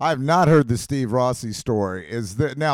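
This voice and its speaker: This man has an unremarkable speaking voice with lively intonation and a moderate pace. The recording is very clean, with a silent background. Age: 40s. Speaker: podcast host. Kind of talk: casual chat.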